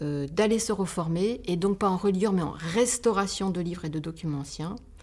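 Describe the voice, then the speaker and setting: Very slowly, a woman with a fairly low pitch speaks with ordinary pitch variation. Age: 50s. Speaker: bookbinder and entrepreneur. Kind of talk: podcast interview. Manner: halting.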